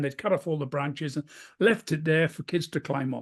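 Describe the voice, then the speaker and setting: The speaker has a British accent, heard over a quiet background. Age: 70s. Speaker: keynote speaker. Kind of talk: interview.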